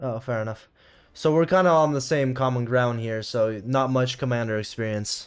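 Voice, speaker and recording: With ordinary pitch variation, the man's medium-pitched voice keeps a moderate pace. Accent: American. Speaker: tournament stream host. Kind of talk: livestream match interview.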